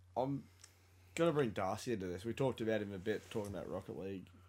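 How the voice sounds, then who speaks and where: With an Australian accent, a man speaks very fast, his pitch varying in an ordinary way. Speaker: sports podcast co-host. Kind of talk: casual chat. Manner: animated.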